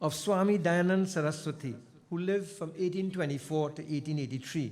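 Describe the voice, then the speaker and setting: The man's high-pitched voice shows ordinary pitch variation. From Trinidad and Tobago. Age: 70s. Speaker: invited speaker at school anniversary. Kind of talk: ceremonial speech. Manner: formal.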